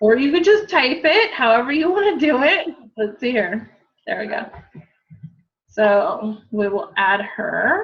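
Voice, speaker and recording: A high-pitched woman in an American accent, fairly slow, with very wide pitch swings and long, frequent pauses. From US West, Southern California. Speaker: fitness coach. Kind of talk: tutorial.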